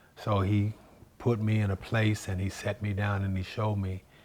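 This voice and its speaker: Somewhat breathy, a man speaks in a fairly low pitch with monotone, flat intonation. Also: very clean recording, silent background. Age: 60s. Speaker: singer giving testimony. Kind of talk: testimony.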